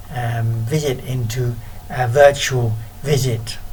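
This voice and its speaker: Amid noticeable background noise and audible room echo, a man speaks in a medium pitch with ordinary pitch variation. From UK. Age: 50s. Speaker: missionary. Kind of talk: recorded talk. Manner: halting.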